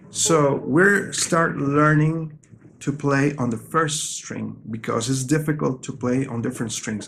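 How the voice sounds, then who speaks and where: Someone with a non-native accent speaks at a fairly slow pace, with ordinary pitch variation. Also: man. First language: not English. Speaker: guitar teacher. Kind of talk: tutorial.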